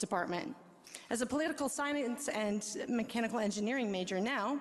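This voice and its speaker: A woman speaks in an unremarkable speaking voice at a moderate pace. Her pitch sits fairly high, with ordinary variation. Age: 40s. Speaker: resident speaking at city council. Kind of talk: public comment speech. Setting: city council meeting.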